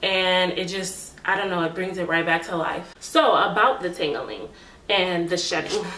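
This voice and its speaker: Audible room echo and noticeable background noise surround this recording. A woman at a medium pitch speaks at a moderate pace. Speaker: beauty vlogger. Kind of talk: hair review tutorial. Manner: animated.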